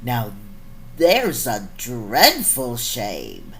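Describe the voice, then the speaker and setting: Clear background noise sits behind a put-on character voice. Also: man. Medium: read story. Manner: warm, jolly.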